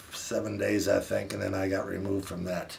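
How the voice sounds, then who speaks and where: Noticeable background noise fills the clip. A man speaks over it at a moderate pace. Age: 60s. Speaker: lung cancer survivor. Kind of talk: personal story told to camera over photos. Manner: casual, hesitant.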